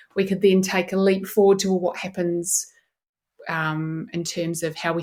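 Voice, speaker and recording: A woman with a New Zealand accent speaks fairly quickly at a medium pitch. Her intonation stays flat and monotone on a very clean recording with a silent background. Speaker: neuroscientist. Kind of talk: podcast interview.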